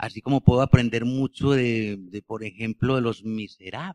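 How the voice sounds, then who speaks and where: With a dry, close sound and no echo, a man speaks at a fairly slow pace in a medium pitch with fairly even intonation. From Colombia, Bello (Antioquia). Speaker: novelist. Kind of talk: book presentation conversation. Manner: halting, frequent repetitions.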